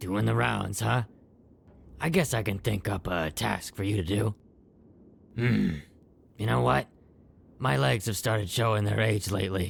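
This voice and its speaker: A man puts on a raspy character voice, fairly low in pitch, with very wide pitch swings and very even loudness. He keeps a moderate pace broken by long, frequent pauses. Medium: machinima. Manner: folksy, easygoing.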